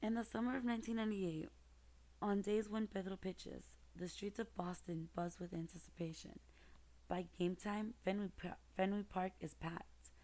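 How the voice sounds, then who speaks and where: A soft-spoken woman talks at a moderate pace in a gentle tone. Her intonation stays fairly even. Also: medium pitch for a woman. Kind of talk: soft-spoken picture book reading, ASMR. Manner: soft-spoken, gentle.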